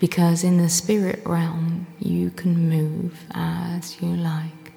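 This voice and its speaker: A woman's fairly low-pitched voice with a gentle, soothing tone at a very slow pace, over noticeable background noise. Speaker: life coach. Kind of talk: guided meditation. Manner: slow, soothing, calm; gentle, unhurried, with long pauses.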